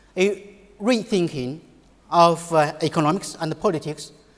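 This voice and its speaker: A man speaks with a Chinese accent at a fairly slow pace. His pitch shows ordinary variation. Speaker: economics professor. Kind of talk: conference panel talk. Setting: conference panel. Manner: halting, many fillers.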